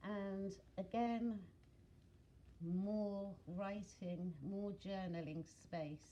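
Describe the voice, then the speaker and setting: Speaking at a very slow pace with long, frequent pauses, a woman with a British accent keeps a medium pitch and fairly even intonation. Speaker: craft video maker. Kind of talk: craft flip-through tutorial. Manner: casual with fillers.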